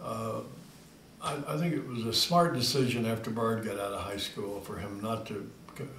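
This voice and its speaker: A man with an American accent talks at a moderate pace and medium pitch, amid audible room echo and noticeable background noise. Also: ordinary pitch variation. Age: 70s. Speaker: retired father recording a family memoir. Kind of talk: oral history reminiscence. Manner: halting, many fillers.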